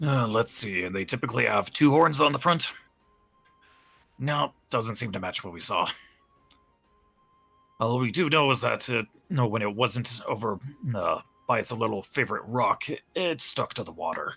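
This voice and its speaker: Putting on a raspy character voice, a man speaks at a medium pitch and a moderate pace with long, frequent pauses while faint music plays in the background. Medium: actual play. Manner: gruff, blunt.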